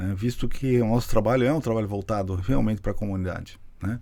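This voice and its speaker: At a moderate pace, a man talks with a dark, mellow tone and a fairly low pitch. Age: 60s. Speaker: physician, nephrologist. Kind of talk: podcast interview. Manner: halting, many restarts.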